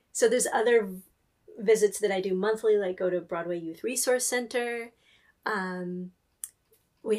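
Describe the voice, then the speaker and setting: A woman with a West Coast accent speaks at a moderate pace and a fairly high pitch, her intonation fairly even, with long, frequent pauses. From US Pacific Northwest, near Seattle. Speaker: librarian. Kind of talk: interview conversation.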